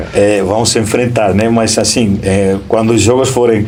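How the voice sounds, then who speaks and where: A man is talking amid noticeable background noise. Audible room echo surrounds his voice. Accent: Spanish. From Spain. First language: Spanish (speaking Portuguese). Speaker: school principal. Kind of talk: interview. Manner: hesitant, many fillers.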